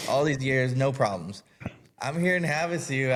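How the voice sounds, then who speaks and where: With a Californian accent, a man talks at a medium pitch. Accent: Californian American English. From Southern California, Anaheim. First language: Spanish. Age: 30s. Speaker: HVAC business owner. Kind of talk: podcast interview. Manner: casual, storytelling.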